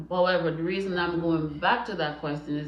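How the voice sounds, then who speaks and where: With audible room echo and noticeable background noise, a woman speaks in fairly even intonation. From Jamaica. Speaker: mother of the channel host, holds a doctorate. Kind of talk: casual interview. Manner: articulate, professional.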